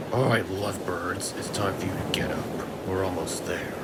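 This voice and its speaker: A man whispers in a put-on character voice. Loud background noise fills the clip. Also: moderate pace. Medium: read story. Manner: smug, boastful.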